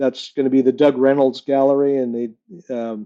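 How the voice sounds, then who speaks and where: With an American accent, a man at medium pitch speaks with fairly even intonation. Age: 60s. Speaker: glass artist. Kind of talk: interview. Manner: halting, many fillers.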